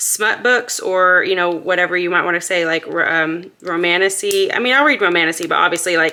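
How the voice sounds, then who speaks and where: Noticeable background noise accompanies the woman as she talks at a fairly quick pace. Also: hardly any pauses. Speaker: budgeting YouTuber. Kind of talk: casual vlog tutorial. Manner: fast; upbeat.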